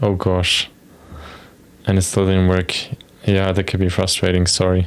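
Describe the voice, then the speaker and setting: Speaking with a non-native accent, a man with a very deep, low voice leaves long, frequent pauses. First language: not English. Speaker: software developer streamer. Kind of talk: live coding stream with chat. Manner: casual, hesitant.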